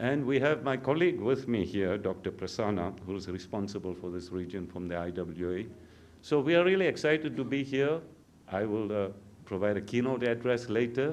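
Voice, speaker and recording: Audible room echo surrounds a man with a fairly low pitch who talks at a fairly quick pace with lively intonation. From South Africa. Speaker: water utility expert. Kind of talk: conference welcome speech.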